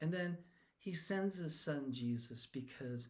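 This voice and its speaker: A man talks at a very slow pace in a somewhat breathy voice. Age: 60s. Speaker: devotional songwriter and Bible teacher. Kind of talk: casual devotional talk. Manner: animated; halting.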